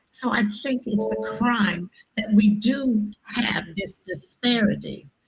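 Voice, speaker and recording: Over music in the background, a woman speaks at a medium pitch. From San Francisco, Bayview Hunters Point. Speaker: public commenter. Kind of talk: public comment at government hearing. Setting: public meeting.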